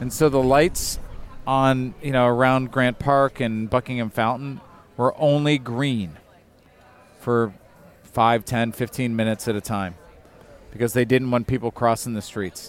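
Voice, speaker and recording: A man speaks at a fairly slow pace with a medium pitch. His intonation stays fairly even, broken by long, frequent pauses. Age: 40s. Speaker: podcast host. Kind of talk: casual chat. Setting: outdoors at a brewery.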